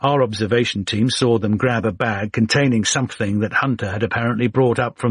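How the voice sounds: The reading is done in a natural voice with fairly even intonation.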